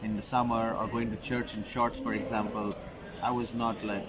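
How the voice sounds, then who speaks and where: Amid noticeable background noise and audible room echo, a man with a medium pitch speaks at a moderate pace. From Qatar, Middle East (Indian family). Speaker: recent graduate, international student. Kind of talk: interview.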